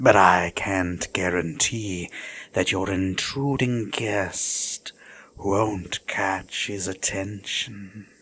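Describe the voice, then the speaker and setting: A woman uses a put-on character voice with a very deep, low pitch. She speaks at a very slow pace. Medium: audio drama. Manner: smug, teasing, regal.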